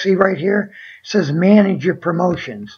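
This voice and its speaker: A woman at a medium pitch talks with vocal fry. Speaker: online seller. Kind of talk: screen-share tutorial. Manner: hesitant, many fillers; casual, conversational.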